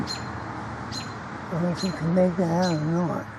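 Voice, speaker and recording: With audible room echo and noticeable background noise, a woman speaks at a medium pitch. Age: 70s. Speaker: hobby video maker. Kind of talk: casual vlog narration. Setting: outdoors in a cemetery. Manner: hesitant, many fillers.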